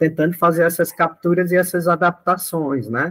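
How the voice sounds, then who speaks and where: A fairly high-pitched man's voice at a moderate pace. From Brazil, Ceará (Northeast). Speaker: study group facilitator. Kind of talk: group discussion talk. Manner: hesitant, frequent fillers.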